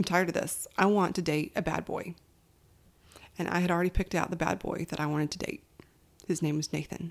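A woman with a Southern US accent talks at a very fast pace with a fairly low pitch. She leaves long, frequent pauses. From Alabama, US South. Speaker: podcast host. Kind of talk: personal storytelling. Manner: animated.

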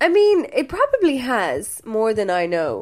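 A woman speaks in a Limerick accent. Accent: Irish (Limerick). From Ireland, Limerick. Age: 20s. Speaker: burlesque dancer and cabaret producer. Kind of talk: interview.

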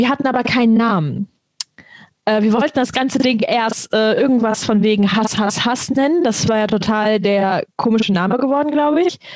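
A woman with a normal speaking voice speaks at a moderate pace and fairly high pitch, with ordinary pitch variation and very even loudness. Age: 20s. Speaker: podcast co-host. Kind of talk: casual chat.

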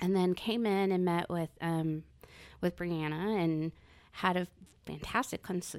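On a very clean recording with a silent background, a woman with a normal speaking voice talks at a medium pitch and a moderate pace. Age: 40s. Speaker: salon client, guest. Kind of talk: casual chat.

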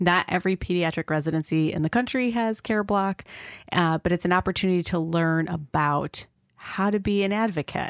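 A normal speaking voice from a woman in an American accent, fairly low in pitch with ordinary pitch variation, fairly quick in pace and very even in loudness, dry and close with no echo on a very clean recording with a silent background. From Rochester, New York. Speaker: pediatrician and nonprofit founder, podcast co-host. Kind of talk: interview (being interviewed by co-host).

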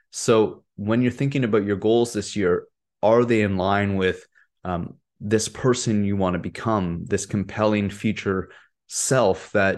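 A man with an unremarkable speaking voice talks at a moderate pace. His intonation stays fairly even against a quiet background. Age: 30s. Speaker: wellness podcast host. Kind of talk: solo podcast monologue. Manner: casual, conversational with fillers.

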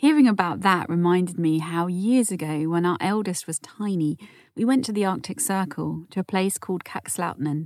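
With a normal speaking voice, a woman talks at medium pitch and a moderate pace with lively intonation. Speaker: podcast host. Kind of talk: scripted narration. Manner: warm, soothing, calm.

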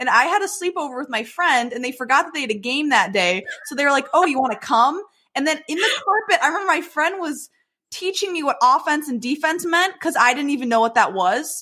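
A woman with an American accent projects a raised, high-pitched voice with a bright, sharp tone. She talks at a fairly quick pace, her pitch swinging very widely. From Michigan, Detroit area. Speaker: beauty pageant winner. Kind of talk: casual chat.

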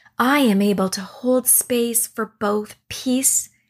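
In a calm, soothing tone, a woman speaks very slowly and somewhat breathily. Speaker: meditation guide. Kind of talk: guided meditation with affirmations. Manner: calm, slow, soothing.

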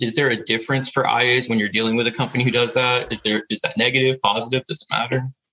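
A man with an American accent speaks at a very fast pace and a medium pitch. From US South (Florida). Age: 20s. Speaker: new insurance adjuster. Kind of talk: casual coaching conversation.

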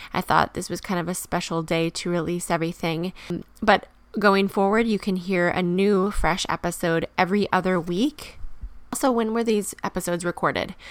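With a normal speaking voice, a woman talks at medium pitch and a moderate pace, keeping her intonation fairly even. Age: 30s. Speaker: podcast host. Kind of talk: personal monologue. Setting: home bedroom.

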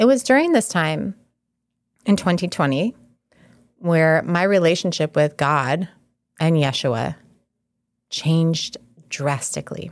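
A woman's fairly low voice with lively intonation at a fairly slow pace, long, frequent pauses and very even loudness, on a very clean recording with a silent background. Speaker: spiritual wellness podcast host. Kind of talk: solo monologue on spirituality. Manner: calm.

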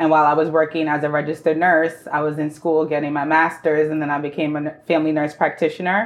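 The speech runs at a very fast pace in a monotone, flat intonation, with hardly any pauses. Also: woman, very deep, low pitch for a woman. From New York City, the Bronx. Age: 30s. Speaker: entrepreneur, former nurse. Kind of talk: interview.

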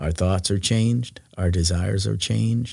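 Speaking with an American accent, a man has a very deep, low pitch. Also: very clean recording, silent background. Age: 60s. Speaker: former pastor. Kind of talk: faith testimony interview.

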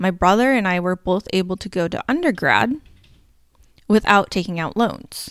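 A woman speaks at medium pitch and a moderate pace, with lively intonation and an unremarkable speaking voice. The sound is dry and close with no echo, on a very clean recording with a silent background. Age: 30s. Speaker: podcast host, energy mentor for entrepreneurs. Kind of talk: solo podcast monologue on money mindset.

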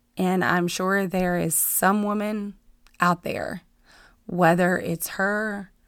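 At a very slow pace, a woman of medium pitch speaks with fairly even intonation on a very clean recording with a silent background. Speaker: podcast host, fitness coach. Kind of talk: personal testimony. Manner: casual, with fillers.

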